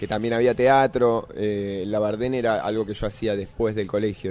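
He has a plain, everyday voice, pitched fairly low, with fairly even intonation. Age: 30s. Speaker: actor and musician. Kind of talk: interview. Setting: radio studio cafe.

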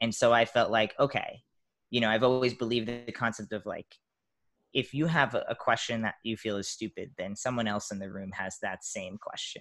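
A man speaks at a medium pitch in a normal speaking voice. The recording is very clean, with a silent background. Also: fairly quick pace. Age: 30s. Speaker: transgender activist and motivational speaker. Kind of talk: interview conversation.

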